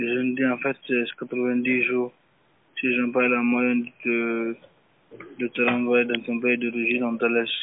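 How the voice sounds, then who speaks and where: A medium-pitched man delivers monotone, flat intonation at a fairly slow pace. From Guinea. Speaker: detainee in immigration detention centre. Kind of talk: phone interview. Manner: halting.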